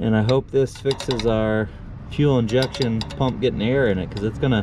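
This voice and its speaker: With music playing in the background, a man speaks at a fairly slow pace in a dry sound with no echo. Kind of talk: casual repair vlog commentary. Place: garden. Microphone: phone near.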